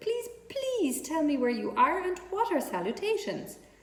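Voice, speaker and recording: A squeaky put-on character voice with very wide pitch swings moves at a moderate pace with slight echo. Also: woman, extremely high pitch for a woman. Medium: read story. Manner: eager, polite.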